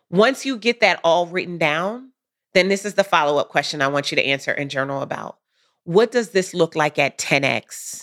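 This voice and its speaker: A woman with an unremarkable speaking voice, fairly low pitch and lively intonation, on a very clean recording with a silent background. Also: moderate pace. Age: 40s. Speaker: business coach. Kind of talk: casual chat; guided reflection.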